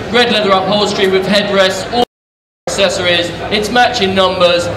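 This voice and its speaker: A man speaks at a high pitch and a moderate pace. Noticeable background noise is present. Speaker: auction announcer. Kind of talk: scripted lot presentation. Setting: auction hall PA. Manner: brisk, promotional. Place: hall.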